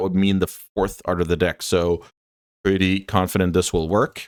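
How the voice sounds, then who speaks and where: A man's very deep, low voice with a non-native accent, fairly even intonation and a fairly quick pace, in a very clean recording with a silent background. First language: not English. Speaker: Magic: The Gathering content creator. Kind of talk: gameplay commentary. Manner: casual, thinking aloud with fillers.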